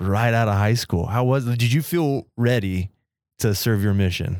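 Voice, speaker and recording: Moderate pace from a man with a normal speaking voice and ordinary pitch variation, on a very clean recording with a silent background. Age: 20s. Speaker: podcast co-host. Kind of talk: casual interview.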